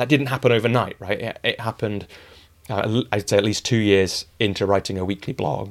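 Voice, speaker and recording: A man with a Yorkshire accent talks fairly quickly at a fairly low pitch on a very clean recording with a silent background. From northern England, rural Yorkshire. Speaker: author and coach. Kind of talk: interview conversation. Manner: animated.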